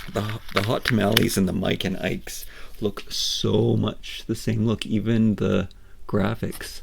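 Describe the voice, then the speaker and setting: A man talks at a fairly slow pace. His fairly low voice keeps a fairly even intonation. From Canada, Nova Scotia Atlantic coast. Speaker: toy reviewer and miniature collector. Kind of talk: unboxing review, casual monologue. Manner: halting, with frequent repetitions and fillers.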